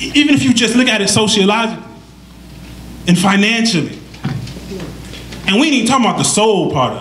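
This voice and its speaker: A man with an American accent, high-pitched for a man, talking at a very fast pace with ordinary pitch variation and long, frequent pauses, amid noticeable background noise and audible room echo. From Detroit, US Midwest. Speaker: panelist, Islamic school vice principal. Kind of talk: panel discussion.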